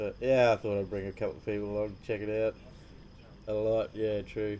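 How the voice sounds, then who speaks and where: A man speaks quietly with an Australian accent and a dark, mellow tone. His intonation is monotone and flat. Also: fairly low pitch for a man, fairly quick pace. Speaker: fishing channel host. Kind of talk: live stream chat. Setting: cabin at night, live stream. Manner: quiet, low voice.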